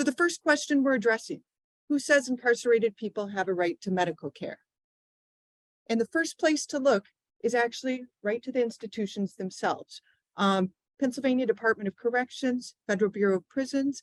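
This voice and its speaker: A woman speaks at a fairly quick pace in a high voice with lively intonation. The sound is dry and close, with no echo. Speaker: legal advocacy speaker. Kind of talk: public presentation. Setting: live event with audience and Zoom. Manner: soft-spoken.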